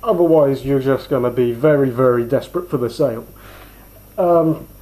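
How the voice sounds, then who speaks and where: In an ordinary speaking voice, a man talks at a moderate pace with fairly high pitch and ordinary pitch variation. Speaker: sales trainer. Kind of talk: casual instructional talk.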